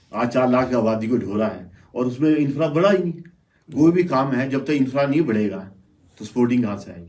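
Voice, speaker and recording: In a room with audible echo, a man of medium pitch speaks at a moderate pace with lively intonation. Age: 60s. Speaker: local businessman. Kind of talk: panel discussion.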